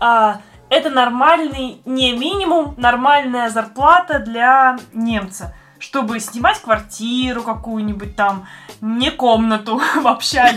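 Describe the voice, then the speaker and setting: A woman's high-pitched voice, with ordinary pitch variation, unfolds at a very slow pace. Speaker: podcast host. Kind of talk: casual chat.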